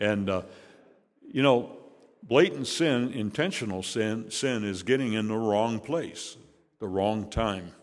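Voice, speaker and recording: A man with an American accent speaks at a very slow pace, with a fairly low pitch and ordinary pitch variation. Long, frequent pauses break up his speech, and the room echo is audible. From Chicago, Illinois (south side, suburbs). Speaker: guest preacher. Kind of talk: sermon. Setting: church.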